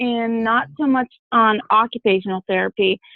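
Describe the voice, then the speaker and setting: This woman talks at a moderate pace in a fairly high pitch. She has a plain, everyday voice. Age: 20s. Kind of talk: interview, personal story. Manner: many fillers (um, uh, you know).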